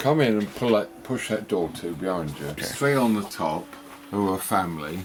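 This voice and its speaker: A man's fairly low voice with lively intonation, at a moderate pace, over noticeable background noise. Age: 80s+. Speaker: cat rescue centre owner. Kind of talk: casual interview.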